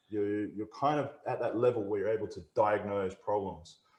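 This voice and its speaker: Speaking at a fairly quick pace in an Australian accent, a man with medium pitch sounds somewhat breathy, his pitch varying in an ordinary way. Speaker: technical trainer. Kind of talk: webinar presentation. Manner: halting, many fillers.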